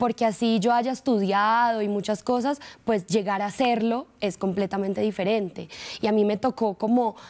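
Here a woman is talking, her intonation fairly even. She keeps a moderate pace. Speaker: actress guest. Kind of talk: interview answer. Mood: relaxed, proud, laughing. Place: studio.

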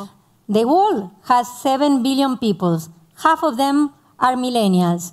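A woman speaks in a high voice with a Spanish accent. Her pace is moderate, and the background is quiet. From Argentina. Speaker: tech entrepreneur; speaker. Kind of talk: panel interview. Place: stage. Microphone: headset.

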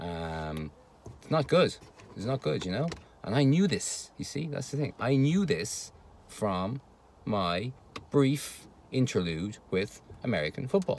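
Pausing long and often, a man talks at a fairly slow pace with very wide pitch swings, in dry sound with no echo over light background noise. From Ireland, Dublin. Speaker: vlogger. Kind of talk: casual monologue. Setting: home recording. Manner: hesitant, many fillers. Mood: wry, dismissive about rugby. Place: car. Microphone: phone near.

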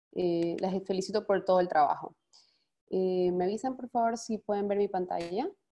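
With ordinary pitch variation, a woman's speech goes at a moderate pace. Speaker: foundation director, speaker; webinar presenter. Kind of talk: webinar presentation. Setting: video call. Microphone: webcam.

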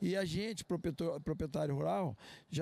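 A man speaks at a moderate pace with a dark, mellow tone and ordinary pitch variation. The sound is dry, with no echo. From Brazil. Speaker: farmer. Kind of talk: news interview. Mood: calm, earnest. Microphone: handheld.

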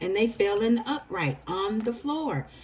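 A somewhat breathy voice with very wide pitch swings over light background noise. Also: woman. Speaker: tarot reader. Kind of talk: tarot reading commentary. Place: home room. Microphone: phone near.

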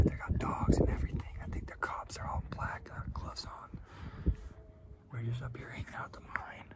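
A man at a fairly quick pace, dry sound with no echo, over loud background noise. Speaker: vlogger. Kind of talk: casual vlog chat. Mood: tense, hushed excitement. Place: open country. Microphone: phone near.

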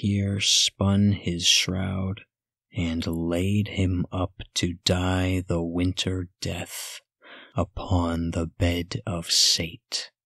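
Against a quiet background with a dry sound and no echo, a soft-spoken man with a very deep, low pitch and a bright, sharp tone speaks very slowly in a monotone, flat intonation. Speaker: ASMR narrator. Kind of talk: ASMR poetry reading, spooky Halloween poems. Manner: soft, slow, hushed. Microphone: studio mic.

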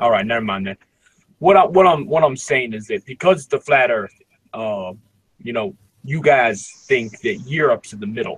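Somewhat breathy and in an American accent, the speaker moves at a moderate pace with very wide pitch swings and big swings in loudness, the sound dry and close with no echo. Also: man, medium pitch for a man. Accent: urban US dialect noted by others. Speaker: caller. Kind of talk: casual chat. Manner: halting, many fillers and repeats.

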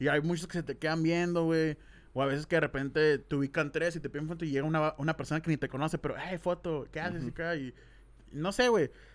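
Speaking very fast, a man uses a fairly high pitch and fairly even intonation. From Mexico, Hermosillo (Sonora); Sonora, Mexico. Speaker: YouTuber, podcast host. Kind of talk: casual chat. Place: studio. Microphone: studio mic.

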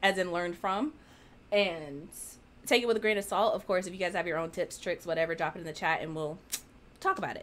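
A woman speaks very fast at a medium pitch with ordinary pitch variation. Long, frequent pauses break up her speech over light background noise. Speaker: author and writing chat co-host; writing chat co-host. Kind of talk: casual chat. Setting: livestream with live virtual audience. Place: home room.

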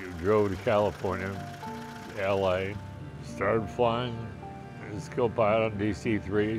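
Clear music plays in the background as a man with an American accent speaks at a moderate pace with fairly even intonation. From Wichita, Kansas. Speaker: retired airline pilot. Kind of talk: interview answer. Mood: warm, cheerful storytelling. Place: home room. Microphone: lapel.

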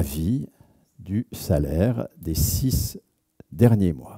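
Against a quiet background, a man speaks with lively intonation, vocal fry and a dark, mellow tone. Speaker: sociologist; lecturer. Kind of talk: lecture. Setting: stage with audience. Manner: animated. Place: hall. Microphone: headset.

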